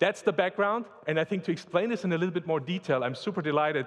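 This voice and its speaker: A man talks with a German accent. His pitch varies in an ordinary way. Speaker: tech company executive. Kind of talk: corporate presentation panel. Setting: stage with audience.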